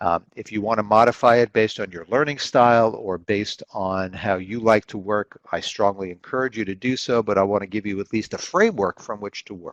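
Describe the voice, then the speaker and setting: Fairly low-pitched, a man talks at a fairly quick pace with hardly any pauses and fairly even intonation, though his loudness swings widely. The sound is dry and close with no echo, and the background is quiet. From New York City (Brooklyn). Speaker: finance instructor. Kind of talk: online lecture / tutorial. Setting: live video webinar. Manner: fast.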